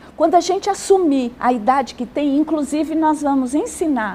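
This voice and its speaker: Her voice sits high in pitch for a woman. Background noise is noticeable throughout. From Brazil. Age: 60s. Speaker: social worker and gerontologist. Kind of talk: TV interview. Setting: TV studio.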